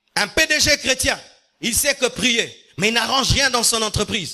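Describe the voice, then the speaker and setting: Over music in the background, a man with an extremely high pitch speaks at a fairly slow pace with lively intonation. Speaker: pastor. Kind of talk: sermon. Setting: church. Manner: carefully articulated; repetitive emphatic.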